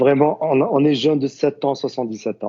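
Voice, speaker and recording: A man is speaking. His pace is moderate. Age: 40s. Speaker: university student, tourism professional. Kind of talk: podcast interview. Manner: halting, many fillers and repetitions.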